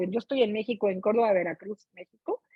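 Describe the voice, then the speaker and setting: A woman's dark, mellow tone sounds dry and close with no echo. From Mexico. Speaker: book club participant. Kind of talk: casual chat. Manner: animated.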